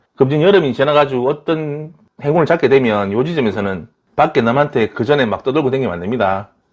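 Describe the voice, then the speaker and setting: A man with a strong Daegu accent, medium in pitch, with very wide pitch swings at a very fast pace. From Daegu, South Korea. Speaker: tarot reader. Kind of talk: tarot reading to camera. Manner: irregular intonation, casual.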